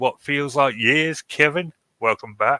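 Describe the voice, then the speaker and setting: Heard as a dry, close sound with no echo, a man with an English accent speaks in a bright, sharp tone. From England. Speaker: podcast host. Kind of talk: casual chat.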